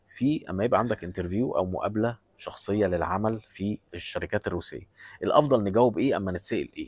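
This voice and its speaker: In an Egyptian accent, a man speaks at a fairly low pitch. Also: dry, close sound with no echo. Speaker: vlogger giving job advice. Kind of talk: advice monologue. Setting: airport.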